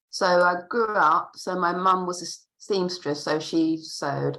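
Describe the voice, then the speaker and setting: A woman with a fairly low pitch and a bright, sharp tone speaks at a very slow pace. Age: 60s. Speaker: textile artist. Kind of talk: panel discussion. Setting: video call.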